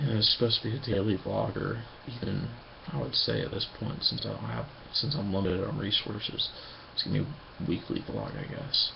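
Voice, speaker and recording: Noticeable background noise behind a man at a fairly quick pace. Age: 20s. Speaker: vlogger. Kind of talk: personal video diary. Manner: whispering; halting.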